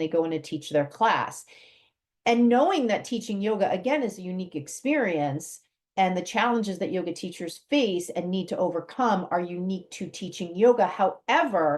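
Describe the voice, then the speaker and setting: A woman talks at a moderate pace in an ordinary speaking voice with a medium pitch. Her intonation is lively, and the background is quiet. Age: 60s. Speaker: podcast host and yoga teacher trainer. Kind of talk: podcast monologue.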